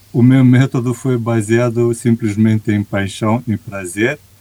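A man with a Romanian accent speaks very slowly at a medium pitch, his tone dark and mellow, with ordinary pitch variation and a dry, close sound without echo. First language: Romanian (speaking Portuguese). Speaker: executive coach. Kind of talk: interview conversation.

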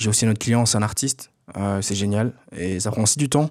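At a medium speed, a man talks in a fairly low pitch. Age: 20s. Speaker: podcast host and entrepreneur. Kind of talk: casual solo monologue. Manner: halting, many fillers and repetitions.

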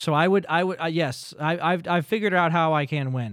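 On a very clean recording with a silent background, a man talks at a fairly quick pace with a high pitch. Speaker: podcast host. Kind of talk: casual chat. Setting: studio.

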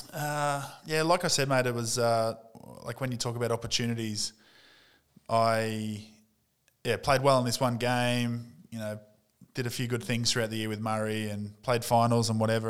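The pace is fairly quick with fairly even intonation. The recording is very clean with a silent background. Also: man. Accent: Australian. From North East Victoria, Australia. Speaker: former pro footballer, sports coaching executive. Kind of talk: interview.

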